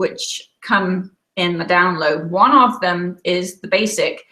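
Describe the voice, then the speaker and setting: Here a woman has a medium pitch and an English accent. Her tone is bright and sharp. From England. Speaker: quilt designer. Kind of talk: webinar presentation. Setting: online webinar from home.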